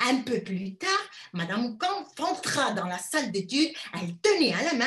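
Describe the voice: Just plain reading aloud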